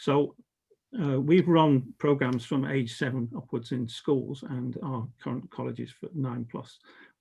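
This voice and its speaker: In a southern British accent, a man talks at a medium pitch with ordinary pitch variation, vocal fry and a dark, mellow tone. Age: 70s. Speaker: educator and organisation development consultant. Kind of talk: conference talk. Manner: hesitant, many fillers.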